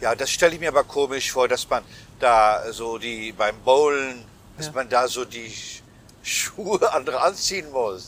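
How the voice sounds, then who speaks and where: A man's unremarkable speaking voice at a medium pitch, with ordinary pitch variation and a fairly slow pace. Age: 60s. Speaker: cabaret artist and podcast host. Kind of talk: casual chat. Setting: travelling, on the way to an exhibition.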